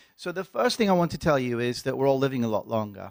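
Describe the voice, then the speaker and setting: A man with an English accent talks very fast at a medium pitch with lively intonation, in a very clean recording with a silent background. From England. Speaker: pharmacology professor. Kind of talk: lecture. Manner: halting, many fillers.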